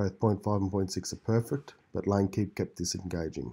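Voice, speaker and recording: In a very clean recording with a silent background, a man speaks at a fairly low pitch in a dark, mellow, somewhat breathy tone with ordinary pitch variation. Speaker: tech video creator. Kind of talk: video commentary.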